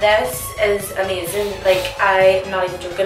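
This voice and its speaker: A woman speaks with audible room echo while clear music plays in the background. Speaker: beauty vlogger. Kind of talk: casual vlog chat. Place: home room.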